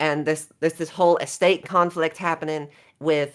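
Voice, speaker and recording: A woman with a very deep, low pitch is captured in a very clean recording against a silent background. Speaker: tabletop role-playing player. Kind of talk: in-character role-play. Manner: fast.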